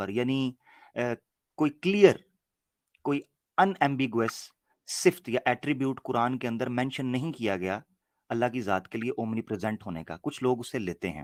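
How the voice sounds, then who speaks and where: A man with a medium-pitched voice and lively intonation, recorded very cleanly against a silent background with a dry, close sound and no echo. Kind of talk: religious debate discussion.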